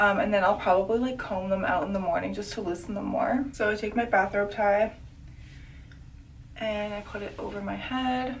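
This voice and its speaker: Amid noticeable background noise and audible room echo, a woman talks at a moderate pace with a medium pitch and ordinary pitch variation. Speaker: beauty vlogger. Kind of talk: casual vlog. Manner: filler-heavy speech.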